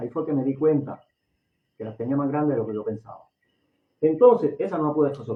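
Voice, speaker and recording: Lively in intonation, a man speaks at a very fast pace and a fairly high pitch. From Puerto Rico. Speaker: lay preacher, religious online show host. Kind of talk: sermon. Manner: naturally fast talker.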